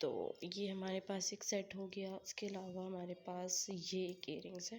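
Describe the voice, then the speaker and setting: This woman talks at a fairly slow pace and a medium pitch. Her intonation stays monotone and flat. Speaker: vlogger. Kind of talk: casual show-and-tell vlog.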